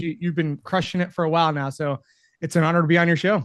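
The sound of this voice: A fast-paced man with a fairly high pitch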